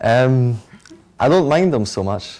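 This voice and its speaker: A man speaks in a Scottish accent with a dark, mellow tone. His pace is moderate. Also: very clean recording, silent background. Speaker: interviewee. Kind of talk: interview.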